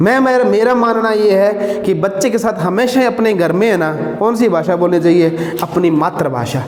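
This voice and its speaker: Amid noticeable background noise and audible room echo, a man speaks in a Rajasthani accent. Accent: Bagri words in his Hindi. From Haryana, India (Bagri-speaking). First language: Bagri (speaking Hindi). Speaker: teacher. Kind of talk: lecture. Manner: conversational, repetitive.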